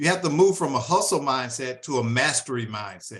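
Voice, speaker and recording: A man's ordinary speaking voice at a moderate pace, with lively intonation. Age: 60s. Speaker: audience member, business owner. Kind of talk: audience question.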